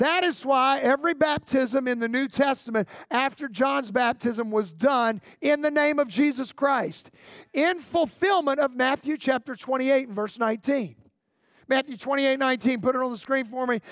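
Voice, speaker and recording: An animated man speaks at a fairly slow pace with ordinary pitch variation in a dry, close sound with no echo and a very clean recording with a silent background. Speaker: pastor. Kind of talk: sermon. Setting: church with congregation. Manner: animated, call-and-response preacher delivery.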